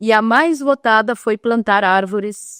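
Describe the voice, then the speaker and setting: A woman's fairly high voice comes through dry and close with no echo, in a very clean recording with a silent background. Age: 60s. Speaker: social worker at a church charity. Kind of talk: podcast interview.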